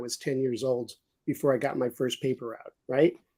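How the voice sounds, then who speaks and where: Someone talks at a very fast pace with a New York accent. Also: man. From New York City. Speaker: business executive stepping away from work. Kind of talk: casual chat. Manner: halting, many repeated words.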